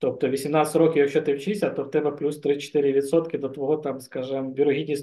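The man's voice is fairly high in pitch, with a dark, mellow tone. He keeps a moderate pace and a monotone, flat intonation. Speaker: podcast host. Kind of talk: casual chat.

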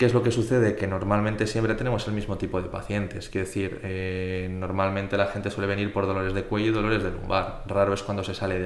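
A man with a fairly low pitch talks very fast amid noticeable background noise and audible room echo. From Spain, Zaragoza. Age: 20s. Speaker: physiotherapist. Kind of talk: casual interview.

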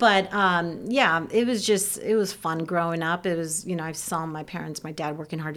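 A woman with a Midwestern US accent speaks at a moderate pace in a fairly low pitch, her pitch varying in an ordinary way. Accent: General American, Midwestern. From Ohio, US Midwest. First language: Serbian. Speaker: church member, mother, children's teacher. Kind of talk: personal testimony in interview.

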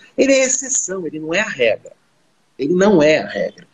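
A man speaks at a fairly slow pace. His voice sits high in pitch. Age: 50s. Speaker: business school owner and career coach. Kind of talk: panel discussion.

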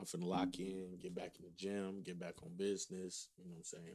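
Talking at a fairly quick pace, a man uses a very deep, low voice with a dark, mellow tone. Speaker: podcast co-host. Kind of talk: casual chat.

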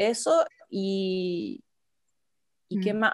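A woman with a Chilean accent speaks at a medium pitch with ordinary pitch variation in a very clean recording with a silent background. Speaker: photographer and mother sharing birth story. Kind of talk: interview, personal testimony. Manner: hesitant, many fillers.

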